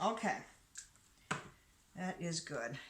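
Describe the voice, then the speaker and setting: A woman talks in a space with audible room echo, noticeable background noise present as well. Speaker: soap maker and channel host. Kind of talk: tutorial. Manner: animated.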